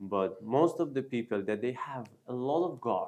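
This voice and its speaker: A man speaks with a Persian accent. His pace is fairly slow. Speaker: news show host. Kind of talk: casual chat. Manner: halting.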